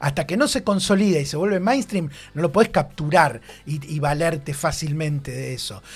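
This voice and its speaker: Using vocal fry, a man speaks at a moderate pace with a fairly high pitch and ordinary pitch variation. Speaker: radio columnist. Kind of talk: radio column discussion.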